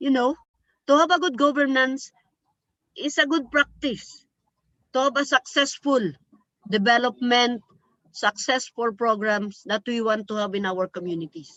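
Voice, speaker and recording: A woman speaks at a moderate pace with a high pitch and lively intonation. Her pauses are long and frequent. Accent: Filipino. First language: Filipino. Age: 60s. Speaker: community organizer. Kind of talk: panel talk.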